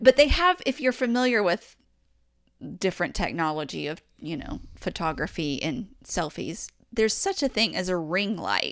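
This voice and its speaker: On a very clean recording with a silent background, a woman with a Southern US accent speaks at a moderate pace and medium pitch, with vocal fry and very wide pitch swings. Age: 40s. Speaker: podcast co-host. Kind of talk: casual chat.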